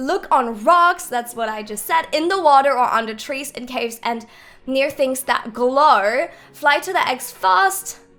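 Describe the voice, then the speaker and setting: A woman with a high, bright, sharp voice speaks fairly slowly in an animated tone with lively intonation, faint music playing behind her. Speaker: gaming youtuber. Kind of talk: gameplay tutorial. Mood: upbeat, casual. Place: home room.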